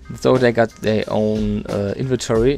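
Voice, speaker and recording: A man with a non-native accent, music in the background. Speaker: gaming YouTuber. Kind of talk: game changelog walkthrough narration. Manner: casual, hesitant.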